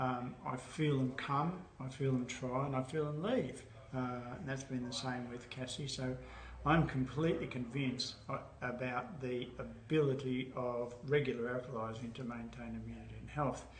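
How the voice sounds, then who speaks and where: A man's moderate-paced speech amid noticeable background noise and audible room echo. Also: medium pitch for a man, fairly even intonation. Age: 70s. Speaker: alkaline diet educator. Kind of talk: interview answers.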